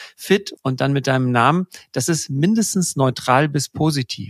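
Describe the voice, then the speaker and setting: A man with a plain, everyday voice talks at a fairly slow pace and fairly high pitch, with ordinary pitch variation, in a dry, close sound with no echo on a very clean recording with a silent background. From Germany, Pakistani family. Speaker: podcast host, senior leader. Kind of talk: casual chat.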